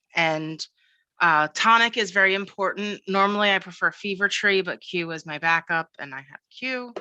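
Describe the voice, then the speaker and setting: A dry, close sound with no echo, bright and sharp in tone, with an American accent. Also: woman, quiet background. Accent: Philadelphia accent, occasional. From US Northeast, Philadelphia. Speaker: cybersecurity professional, former librarian. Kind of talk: casual interview.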